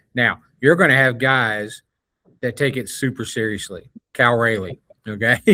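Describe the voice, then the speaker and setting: His tone is bright and sharp as this man talks at a moderate pace and medium pitch. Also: ordinary pitch variation. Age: 60s. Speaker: sports podcast co-host. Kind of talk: casual chat.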